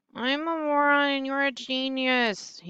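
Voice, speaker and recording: Putting on a character voice, a woman mumbles at a fairly slow pace in a high, strained pitch. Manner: mumbling, self-deprecating.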